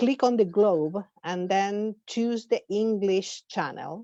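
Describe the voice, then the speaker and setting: A woman with an Argentine accent speaks at a very slow pace, her medium-pitched voice dark and mellow with ordinary pitch variation. The sound is dry and close with no echo, over a quiet background. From Argentina. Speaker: professor and conference organizer. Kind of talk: formal welcome speech. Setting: webinar. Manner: halting, with filler sounds.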